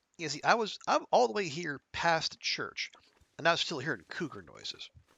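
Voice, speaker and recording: Speaking at a moderate pace with an American accent, a man uses a high pitch and lively intonation. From United States. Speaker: video game streamer. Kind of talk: live gameplay commentary. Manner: halting, many false starts; casual, conversational.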